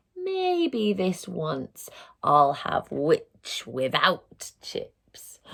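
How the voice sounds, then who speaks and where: A woman's put-on character voice at a very slow pace. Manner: menacing, gloating.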